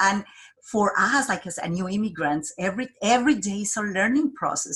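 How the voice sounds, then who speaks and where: The speaker has a Colombian accent and lively intonation. The pace is moderate. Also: woman. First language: Spanish. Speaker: job developer. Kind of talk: interview. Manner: halting.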